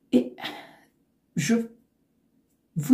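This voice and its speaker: A woman's very slow speech with vocal fry. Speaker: knitting youtuber. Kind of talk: tutorial; casual chat. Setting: home recording facing computer. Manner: hesitant, many fillers.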